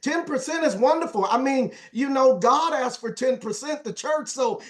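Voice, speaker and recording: At a moderate pace, a man speaks with lively intonation and an extremely high pitch. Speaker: motivational speaker in direct sales, former youth pastor. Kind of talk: sales training talk. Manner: animated.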